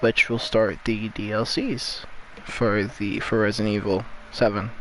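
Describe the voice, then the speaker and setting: A man speaks quietly and fairly slowly at a fairly low pitch, with monotone, flat intonation. Noticeable background noise can be heard. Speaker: gaming youtuber. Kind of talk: gameplay commentary. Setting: at another family's house at night. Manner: quiet, low volume; halting, filler-heavy.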